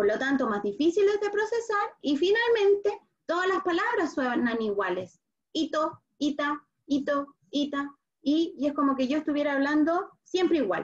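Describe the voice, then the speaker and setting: A woman with a Chilean accent talks at a fairly slow pace in a high pitch, making very wide pitch swings. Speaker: speech therapist. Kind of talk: online talk for parents.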